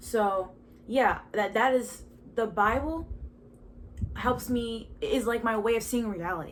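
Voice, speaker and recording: Speaking with an American accent, a woman has a fairly high pitch and ordinary pitch variation at a fairly slow pace. The room echo is audible. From Baltimore, Maryland, US. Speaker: podcast host. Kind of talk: casual testimony monologue. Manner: halting, with stutters and fillers.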